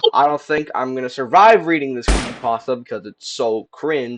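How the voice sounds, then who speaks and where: A man of medium pitch with ordinary pitch variation has an ordinary speaking voice. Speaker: YouTuber. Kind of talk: casual chat; reading aloud. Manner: casual.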